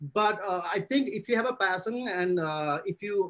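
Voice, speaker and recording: Pitched high, a man's voice moves with ordinary pitch variation. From Nepal. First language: not English. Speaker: journalist. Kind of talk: panel discussion. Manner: halting.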